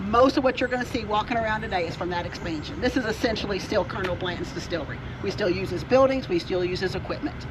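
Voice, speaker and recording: Very fast speech with hardly any pauses over noticeable background noise. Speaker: distillery tour guide. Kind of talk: guided tour talk. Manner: animated.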